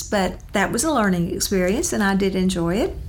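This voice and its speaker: Talking at medium pitch, a woman has a Southern US accent. Noticeable background noise and audible room echo are present. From Louisiana. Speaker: retired school counselor. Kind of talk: interview.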